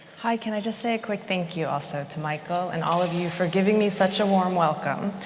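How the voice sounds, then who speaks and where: With an American accent, a woman talks at a fairly quick pace and a medium pitch, with ordinary pitch variation. The recording carries audible room echo and noticeable background noise. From Chicago suburbs, US Midwest. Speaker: architect. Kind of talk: conference talk. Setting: stage with audience.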